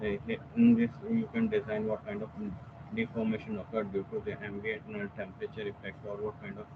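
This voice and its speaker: A quiet man talks at a moderate pace with ordinary pitch variation. Noticeable background noise runs underneath. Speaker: software application engineer giving a tutorial. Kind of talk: technical webinar tutorial. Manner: hesitant, many fillers. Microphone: video call.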